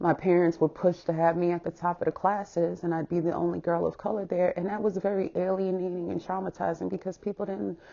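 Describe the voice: A woman talks with a dark, mellow tone and vocal fry, her pitch fairly low. Her voice shows little pitch movement. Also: fairly quick pace, few pauses.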